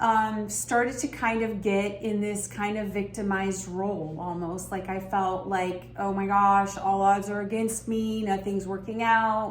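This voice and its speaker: A fairly slow, monotone delivery with flat intonation over noticeable background noise. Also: woman, medium pitch for a woman. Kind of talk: self-help talk to camera. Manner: reflective, earnest, conversational.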